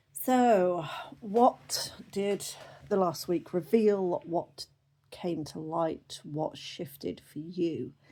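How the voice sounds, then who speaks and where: A woman talks with a British accent and lively intonation. Her tone is dark and mellow. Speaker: oracle card reader. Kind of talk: casual spiritual reading.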